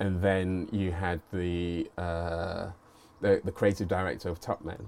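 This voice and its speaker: A man's very deep, low voice in a London accent, very slow, with monotone, flat intonation. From southeast London. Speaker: creative leader and media entrepreneur. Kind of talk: casual interview chat.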